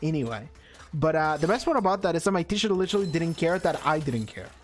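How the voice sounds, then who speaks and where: A man with a Spanish accent and an animated tone. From Argentina. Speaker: gaming streamer. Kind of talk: casual chat.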